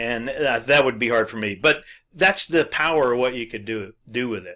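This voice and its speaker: A man speaks at a moderate pace with a bright, sharp tone. The recording is very clean, with a silent background. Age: 60s. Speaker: internet marketing blogger. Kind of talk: tutorial. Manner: halting, many fillers.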